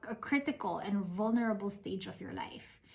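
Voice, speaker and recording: Noticeable background noise sits behind a woman with a fairly high pitch. Her intonation is lively and her pace moderate. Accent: Filipino. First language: Tagalog. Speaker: invited speaker. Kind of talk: motivational talk. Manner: code-switching Taglish.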